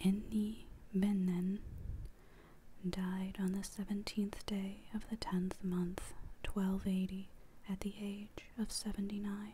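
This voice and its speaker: Someone soft-spoken talks at a very slow pace, leaving long, frequent pauses. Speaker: book channel host. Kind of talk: ASMR poetry reading. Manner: soft, quiet.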